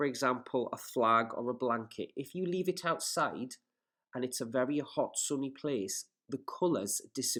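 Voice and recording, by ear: The background stays quiet. Reading aloud in a natural voice, the speaker uses lively intonation.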